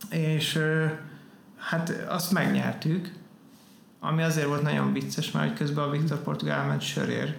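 A man at a fairly slow pace, his loudness very even, with long, frequent pauses, noticeable background noise and audible room echo. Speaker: tattoo artist. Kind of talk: casual chat.

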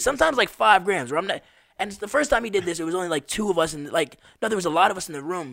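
A man's very fast, high-pitched speech in an American accent, with big swings in loudness. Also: lively intonation. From Las Vegas, US. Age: 20s. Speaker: street drummer and musician. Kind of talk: casual chat. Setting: studio.

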